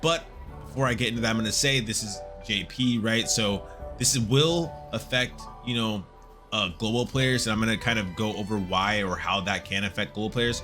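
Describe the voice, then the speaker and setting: With music in the background, a man talks at a moderate pace in a medium-pitched voice with ordinary pitch variation. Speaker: gaming YouTuber and streamer. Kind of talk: casual gameplay commentary. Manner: excited, upbeat.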